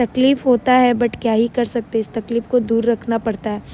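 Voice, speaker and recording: With noticeable background noise, a woman speaks at a moderate pace, high-pitched and in a monotone, flat intonation. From Guwahati, Assam, India. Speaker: vlogger. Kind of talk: vlog narration.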